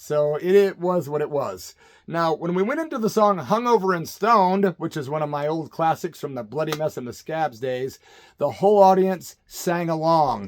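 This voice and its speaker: Speaking at a moderate pace, a man uses lively intonation at a fairly high pitch. His is an ordinary speaking voice. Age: 50s. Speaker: punk rock singer. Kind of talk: casual talk to camera.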